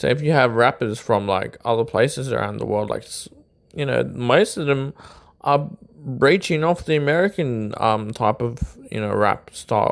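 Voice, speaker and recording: Lively intonation marks a man's speech in an Australian accent. His pace is moderate, and the recording is very clean with a silent background. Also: medium pitch for a man. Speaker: YouTube commentator on rap. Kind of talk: casual monologue commentary. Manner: hesitant, filler-heavy.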